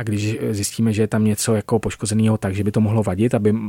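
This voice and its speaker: This man speaks at a very fast pace in a fairly low pitch, his tone dark and mellow. His intonation stays monotone and flat, and the sound is dry and close with no echo. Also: very clean recording, silent background. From Czech countryside. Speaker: industrial designer. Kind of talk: interview. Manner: halting.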